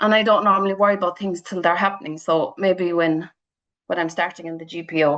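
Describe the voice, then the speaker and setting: With a Cork accent and ordinary pitch variation, a woman speaks at a very fast pace. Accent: Cork Irish. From Ireland, County Cork (Ballyvourney). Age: 40s. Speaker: charity fundraiser and runner. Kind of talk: radio interview. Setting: phone call. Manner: animated.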